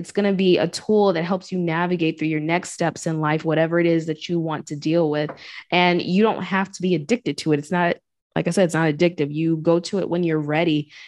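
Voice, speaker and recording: A normal speaking voice, a woman with a fairly low pitch talks at a fairly quick pace and fairly even intonation against a quiet background. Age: 30s. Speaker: podcast host and sound healer. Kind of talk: casual chat.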